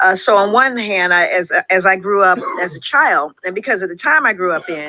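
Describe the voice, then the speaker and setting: A woman speaks at a moderate pace with a fairly low pitch and ordinary pitch variation. It is an ordinary speaking voice. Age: 60s. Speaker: clinician and author. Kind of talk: interview.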